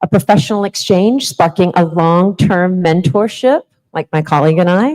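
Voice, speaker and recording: A woman with a normal speaking voice and a fairly low pitch talks at a moderate pace with ordinary pitch variation, in a dry, close sound with no echo. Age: 40s. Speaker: conference keynote speaker. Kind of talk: conference keynote speech.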